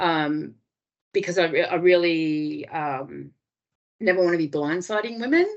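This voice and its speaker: A woman with an Australian accent talks in a fairly low pitch. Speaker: domestic violence refuge worker. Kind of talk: webinar presentation. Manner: hesitant, many fillers.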